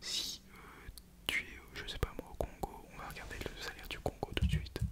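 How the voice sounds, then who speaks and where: Noticeable noise sits in the background. Over it, a man whispers at a moderate speed. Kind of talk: ASMR video talk to camera. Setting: close to microphone, home setup. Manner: whispered; casual, joking.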